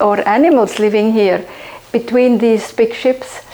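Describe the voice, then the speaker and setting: A woman speaks fairly slowly in a fairly high voice with ordinary pitch variation. Noticeable background noise runs behind her. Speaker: conservationist. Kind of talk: documentary interview. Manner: halting.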